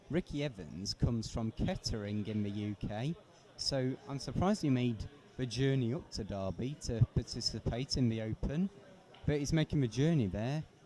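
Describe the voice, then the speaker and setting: Lively in intonation, a man speaks with a dark, mellow tone at medium pitch. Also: moderate pace. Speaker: darts commentator. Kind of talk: live commentary. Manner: loud.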